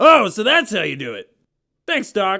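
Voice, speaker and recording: Putting on a character voice, a man raises and projects a high-pitched voice that swings very widely in pitch. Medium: audio drama. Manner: slow, dopey.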